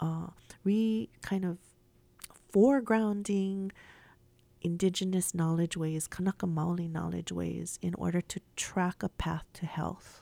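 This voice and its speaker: A dark, mellow tone at a fairly slow pace, dry and close with no echo, on a very clean recording with a silent background. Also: woman. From Hawaii. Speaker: English professor. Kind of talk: radio interview. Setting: radio studio.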